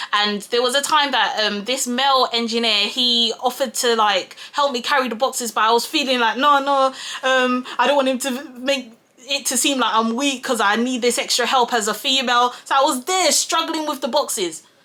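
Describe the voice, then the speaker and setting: Over noticeable background noise, a woman talks loudly at a high pitch. Her pace is moderate. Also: ordinary pitch variation. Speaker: YouTuber and project manager. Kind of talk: casual vlog talk while doing makeup.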